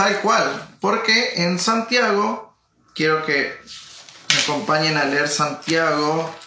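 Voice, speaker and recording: A man's fairly high voice at a very slow pace, with lively intonation, very even loudness and audible room echo. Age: 30s. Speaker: pastor. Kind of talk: interview.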